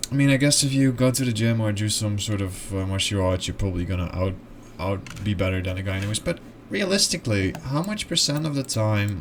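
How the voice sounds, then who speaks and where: In a Dutch accent, a man speaks at a fairly low pitch with lively intonation. Noticeable background noise is audible. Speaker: video essayist. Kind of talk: casual explainer monologue. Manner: halting.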